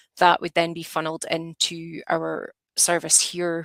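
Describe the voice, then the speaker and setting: A woman with a Scottish accent speaks fairly slowly at a fairly low pitch in a monotone, flat way, and the sound is dry and close with no echo. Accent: Scottish, noticeable. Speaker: advanced nurse practitioner. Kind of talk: lecture. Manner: hesitant, many fillers.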